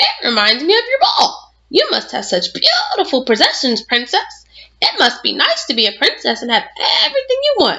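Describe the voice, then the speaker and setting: A woman puts on a croaky character voice at an extremely high pitch. Her pitch swings very widely as she keeps a moderate pace. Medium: read story. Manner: polite but insistent.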